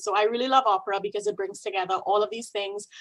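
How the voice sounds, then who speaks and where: With noticeable noise in the background, a woman talks in a fairly high pitch. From Trinidad and Tobago. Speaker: opera singer and music doctor. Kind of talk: talk to a group. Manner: animated.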